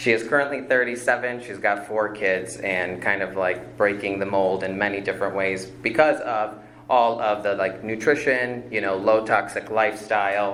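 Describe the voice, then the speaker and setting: A man with a fairly low pitch and an American accent speaks with fairly even intonation and hardly any pauses, while audible room echo colors the sound. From Chicago area, Illinois. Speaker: functional medicine practitioner, applicant. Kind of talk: public hearing testimony. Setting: village plan commission meeting. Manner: fast.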